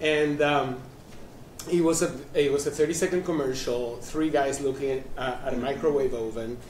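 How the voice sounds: A man talks at a moderate pace with a slightly mellow tone. Audible room echo surrounds his voice. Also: medium pitch for a man, fairly even intonation.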